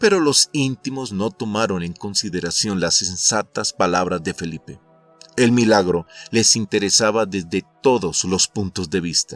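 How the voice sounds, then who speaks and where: Over music in the background, a man speaks at a fairly slow pace in a fairly low pitch with ordinary pitch variation, the sound dry and close with no echo. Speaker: narrator. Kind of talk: audiobook summary narration.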